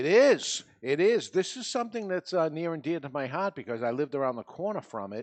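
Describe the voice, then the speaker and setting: Speaking with a New England accent, a man moves at a fairly quick pace with hardly any pauses. His fairly high pitch makes very wide swings. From New England, US. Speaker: podcast panel host. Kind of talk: casual chat. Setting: studio with live audience.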